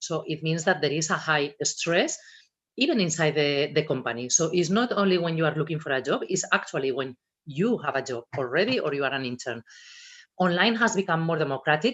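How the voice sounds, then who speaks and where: The speaker has a Spanish accent. The pace is fairly quick. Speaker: personal branding and social media speaker. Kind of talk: talk to students at a virtual careers fair. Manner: expressive.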